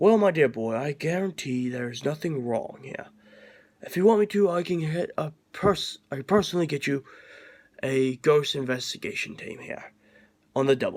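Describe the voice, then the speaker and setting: Doing a put-on character voice, a man sounds raspy and fairly high-pitched, with lively intonation and big swings in loudness. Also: moderate pace. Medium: read story. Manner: courteous, old-fashioned.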